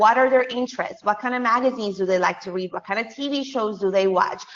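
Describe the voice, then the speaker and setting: Over noticeable background noise, a woman with a Spanish accent talks at a fairly quick pace, her fairly high pitch showing ordinary variation. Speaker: business coach and podcast host. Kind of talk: webinar presentation. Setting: online webinar.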